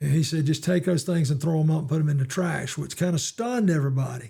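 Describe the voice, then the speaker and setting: Speaking at a fairly quick pace with a Southern US accent, this voice has a dark, mellow tone and ordinary pitch variation. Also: man. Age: 70s. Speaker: retired football coach. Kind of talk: interview.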